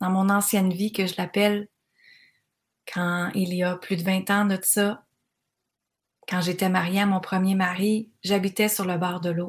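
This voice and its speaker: On a very clean recording with a silent background, a woman speaks in a somewhat breathy, monotone, flat way at a fairly slow pace, with long, frequent pauses. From Quebec (Granby). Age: 40s. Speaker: life coach podcaster. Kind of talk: motivational monologue. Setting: cottage by the water.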